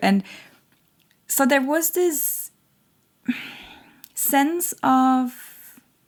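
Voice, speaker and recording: A woman talks in a high voice. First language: not English. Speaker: tarot reader. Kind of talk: channeled tarot reading monologue. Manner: halting, many fillers.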